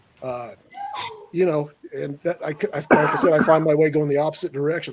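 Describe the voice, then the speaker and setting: A man with an American accent talks at a fairly quick pace, his fairly high pitch held in fairly even intonation, with noticeable background noise. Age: 60s. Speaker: motorcyclist and truck driver. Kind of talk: casual chat. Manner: halting.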